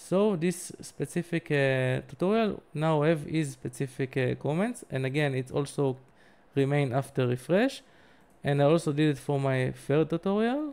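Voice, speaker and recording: A man with a fairly high pitch talks at a moderate pace with ordinary pitch variation in a very clean recording with a silent background. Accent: non-native. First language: not English. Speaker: tech tutorial youtuber. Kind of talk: tutorial. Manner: halting, many fillers.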